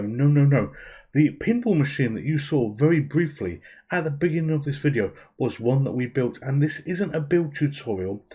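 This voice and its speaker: With a British accent, a man speaks at a moderate pace in a fairly high pitch, his tone dark and mellow, somewhat breathy, with ordinary pitch variation and a quiet background. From UK. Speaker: YouTube gaming channel host. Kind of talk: casual video narration. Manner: informal, self-deprecating chatty.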